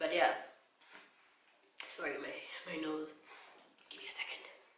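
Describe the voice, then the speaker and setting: A woman speaks with audible room echo. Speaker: vlogger. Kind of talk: personal vlog talk. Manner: stutter.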